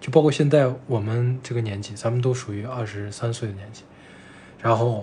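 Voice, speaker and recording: In a room with audible echo, a man speaks at a moderate pace in a somewhat breathy, dark, mellow tone, with fairly even intonation and big swings in loudness. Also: medium pitch for a man. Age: 20s. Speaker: podcast co-host. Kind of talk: casual chat.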